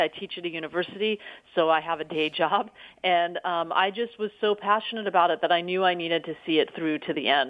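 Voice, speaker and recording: Talking at a fairly quick pace, a woman with a fairly low pitch and ordinary pitch variation has an unremarkable speaking voice. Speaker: documentary filmmaker. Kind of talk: interview.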